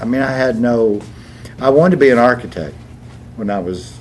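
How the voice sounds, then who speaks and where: Noticeable background noise and audible room echo surround a man who talks fairly quickly. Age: 80s+. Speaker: stage actor. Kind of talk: casual chat.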